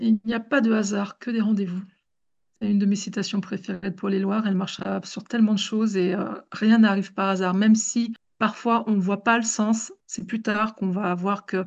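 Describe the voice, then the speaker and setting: A woman's somewhat breathy voice at a medium pitch and moderate pace, with monotone, flat intonation. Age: 40s. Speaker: domestic violence survivor and advocate. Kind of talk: testimony.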